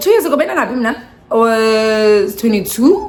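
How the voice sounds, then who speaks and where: A woman speaks in an animated tone with very wide pitch swings at a moderate pace. The room echo is audible, and there is noticeable background noise. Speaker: vlogger. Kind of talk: storytime vlog. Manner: animated, code-switching.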